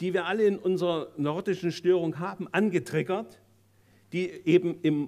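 The background is quiet. A man speaks at a high pitch and a fairly slow pace. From Germany, Saxony; Germany. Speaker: psychoanalyst. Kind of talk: lecture. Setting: stage with audience. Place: hall. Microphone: podium.

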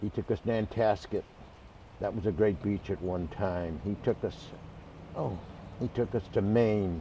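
Over light background noise, a man with an American accent speaks at a moderate pace with a dark, mellow tone, fairly low pitch, a somewhat breathy quality, and long, frequent pauses. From Boston area. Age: 80s+. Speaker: man remembering his parents. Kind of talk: interview answer. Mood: warm, reminiscing. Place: garden.

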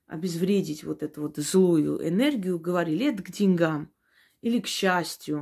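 A woman speaks at a fairly slow pace with a dark, mellow tone, fairly low pitch and ordinary pitch variation. The recording is very clean, with a silent background. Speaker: witch / esoteric practitioner. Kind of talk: esoteric advice talk to camera.

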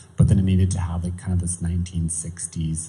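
A somewhat breathy, dark, mellow voice with a Canadian accent. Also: man. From small-town Saskatchewan, Canada. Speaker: makeup and mixed media artist; guest. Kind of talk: onstage conversation. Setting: store event with live audience. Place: hall. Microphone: handheld.

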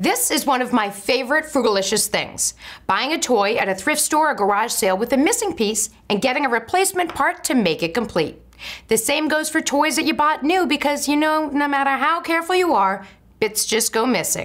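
A woman talks at a fairly quick pace in a high voice. The background is quiet. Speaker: lifestyle show host. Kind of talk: tips segment host talk. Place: kitchen.

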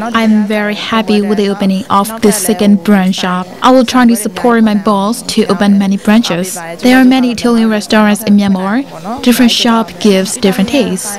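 A woman's fairly quick voice with hardly any pauses, fairly even intonation, a dry sound with no echo, and faint music in the background. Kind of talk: interview answer. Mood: pleased, calm. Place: cafe. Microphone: handheld.

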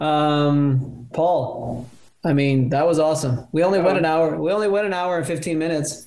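A man talks at a moderate pace over noticeable background noise. His voice is fairly high for a man, with ordinary pitch variation. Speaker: podcast host. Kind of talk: casual interview. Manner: casual, enthusiastic.

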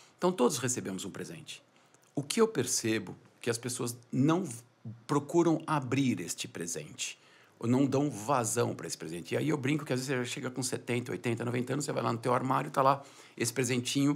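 Vocal fry marks this man's medium-pitched voice, which moves with lively intonation. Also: fairly quick pace. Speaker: business founder and CEO; entrepreneur. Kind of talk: podcast interview. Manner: soft-spoken. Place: studio. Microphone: studio mic.

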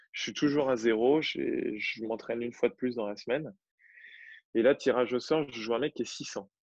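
In a normal speaking voice, a man talks at a moderate pace and medium pitch. The sound is dry and close with no echo, over a quiet background. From Normandy, France. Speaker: tennis coach and competitive player. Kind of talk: casual interview chat.

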